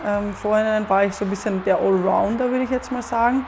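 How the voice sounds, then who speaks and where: Fairly high in pitch, a woman speaks at a fairly quick pace. She has an Austrian accent. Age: 20s. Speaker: professional football goalkeeper. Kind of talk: interview monologue.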